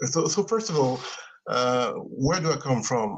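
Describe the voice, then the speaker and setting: A man with a non-native accent speaks at fairly high pitch. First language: not English. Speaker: caller on live stream. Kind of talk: casual live stream discussion.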